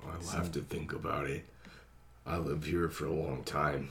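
In a put-on character voice, a man speaks at a moderate pace, very deep and low-pitched, raspy and monotone with flat intonation, over clear background noise. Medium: actual play.

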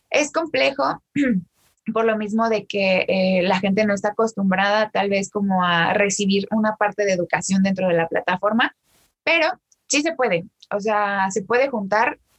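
Her loudness very even, a woman of medium pitch speaks at a moderate pace with ordinary pitch variation, in a dry, close sound with no echo. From Mexico, State of Mexico. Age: 20s. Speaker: TikTok creator and law graduate. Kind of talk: casual interview chat. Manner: animated.

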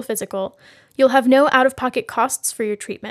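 Recorded very cleanly with a silent background and a dry, close sound with no echo, a woman speaks at a high pitch and a fairly quick pace. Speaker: radio newsreader. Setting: radio station broadcast. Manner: formal, even-paced and neutral, in a brisk, businesslike announcer cadence.

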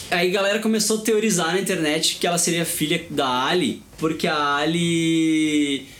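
With hardly any pauses and very even loudness, a man speaks at a high pitch amid audible room echo and noticeable background noise. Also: ordinary pitch variation, moderate pace. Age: 40s. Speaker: podcast host. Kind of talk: casual chat.

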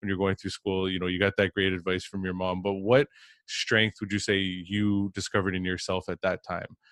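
A man's very deep, low voice at a fairly quick pace, with monotone, flat intonation. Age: 30s. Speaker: podcast host. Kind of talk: interview. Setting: remote call. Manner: halting.

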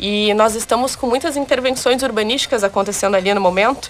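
A woman's pitch varies normally as noticeable noise sounds in the background. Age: 20s. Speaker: beauty pageant candidate. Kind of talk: radio interview.

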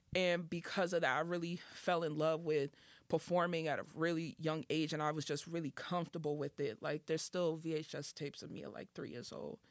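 A woman with an American accent speaks at a very deep, low pitch and a fairly quick pace, with fairly even intonation and hardly any pauses. The recording is very clean, with a silent background. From Boston, Dorchester. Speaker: rapper. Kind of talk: casual podcast interview.

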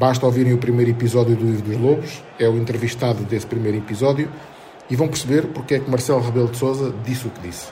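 A man speaks very fast at a medium pitch with fairly even intonation. Room echo and noticeable background noise are both audible. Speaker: podcast host and sports journalist. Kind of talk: scripted narration.

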